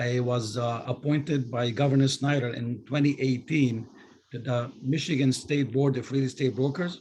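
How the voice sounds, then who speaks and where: Speaking at a moderate pace, a man has a somewhat breathy, medium-pitched voice with fairly even intonation. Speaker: city council member. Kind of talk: self-introduction at community meeting. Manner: halting with many fillers.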